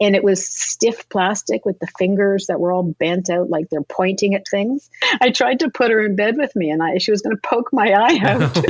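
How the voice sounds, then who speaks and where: With a normal speaking voice, a woman of medium pitch talks at a moderate pace with lively intonation and hardly any pauses, in a dry, close recording with no echo. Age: 60s. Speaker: fine art photographer. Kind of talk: interview.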